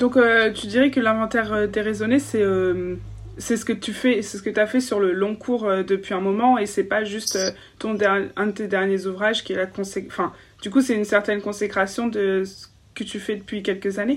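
Delivered at a moderate pace, a plain, everyday voice keeps its intonation fairly even. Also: woman, medium pitch for a woman. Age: 20s. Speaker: podcast host. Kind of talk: interview; scripted narration. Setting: video call.

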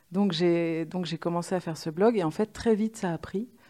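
A woman's fairly low, dark and mellow voice with fairly even intonation, in a very clean recording with a silent background. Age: 40s. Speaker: screenwriter. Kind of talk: interview.

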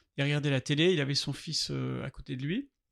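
Recorded very cleanly against a silent background, a man with an ordinary speaking voice talks at a fairly quick pace and a fairly high pitch. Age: 60s. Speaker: artist. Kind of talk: interview. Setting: artist's studio.

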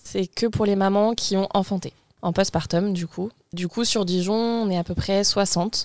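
At a fairly slow pace, a woman speaks in a monotone, flat intonation at medium pitch, in a dry, close sound with no echo. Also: very clean recording, silent background. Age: 20s. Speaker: mother, guest. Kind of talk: casual chat.

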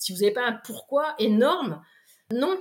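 A woman's normal speaking voice with lively intonation at a moderate pace, on a very clean recording with a silent background. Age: 40s. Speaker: sophrologist and motivational coach, former firefighter. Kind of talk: interview.

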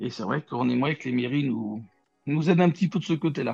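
Music plays behind a man speaking at a fairly quick pace. His pitch is fairly high. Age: 40s. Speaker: football coach. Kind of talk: interview. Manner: hesitant, with fillers and repetitions.

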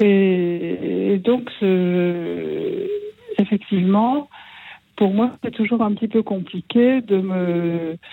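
Speaking at a very slow pace, the woman holds a medium pitch with ordinary pitch variation. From Mâcon, Burgundy, France. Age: 70s. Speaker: caller, former nun. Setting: phone call.

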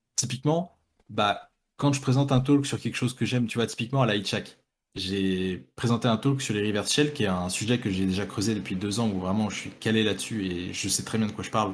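In a very clean recording with a silent background, a man with an unremarkable speaking voice talks at a fairly quick pace, with a fairly low pitch and ordinary pitch variation. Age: 20s. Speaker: cybersecurity researcher. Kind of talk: casual chat.

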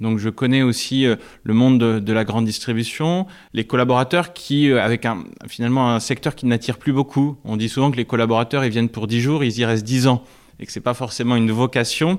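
Here a man speaks in a normal speaking voice at a medium pitch. His pace is fairly quick. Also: ordinary pitch variation. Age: 30s. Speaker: startup founder. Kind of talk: interview.

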